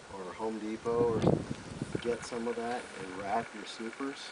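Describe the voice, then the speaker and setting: A man at medium pitch amid noticeable background noise. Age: 50s. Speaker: beekeeping instructor. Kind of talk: hands-on class demonstration. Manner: casual, conversational.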